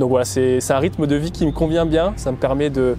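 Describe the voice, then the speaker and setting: A man at a fairly quick pace with fairly even intonation, against noticeable background noise. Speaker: amateur marathon runner, vlogger. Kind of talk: documentary interview. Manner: hesitant, many fillers.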